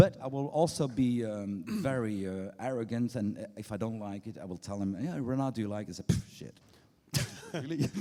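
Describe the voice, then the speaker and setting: At a fairly quick pace, a man talks at medium pitch with lively intonation and a dark, mellow tone. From Belgium. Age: old. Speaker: record label founder. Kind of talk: on-stage keynote interview. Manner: halting, many restarts.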